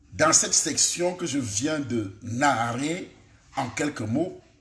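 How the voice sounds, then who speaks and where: A man's fairly high voice with lively intonation and audible room echo. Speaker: pastor. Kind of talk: sermon. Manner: soft-spoken; articulated.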